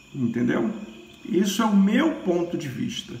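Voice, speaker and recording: The pitch swings very widely at a fairly slow pace. Room echo is audible. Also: man. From Brazil. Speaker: Candomblé priest. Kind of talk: religious teaching monologue. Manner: hesitant, with many fillers. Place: home room. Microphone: phone near.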